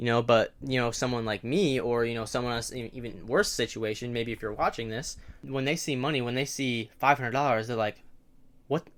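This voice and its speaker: This is an ordinary speaking voice moving at a fairly quick pace with ordinary pitch variation. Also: man. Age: 18 or 19. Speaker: day trader and video creator. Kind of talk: casual advice monologue to camera. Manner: conversational with many fillers and self-corrections.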